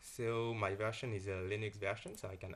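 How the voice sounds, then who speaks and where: A man in a French accent speaks at a fairly low pitch with a somewhat breathy voice. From France. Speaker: software developer. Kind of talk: software tutorial.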